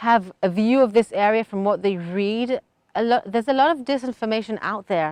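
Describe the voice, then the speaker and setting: A woman's fairly high voice with a British accent, moderate pace and ordinary pitch variation, in a dry, close sound with no echo. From Israel. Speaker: settler interviewee. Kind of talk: interview answer.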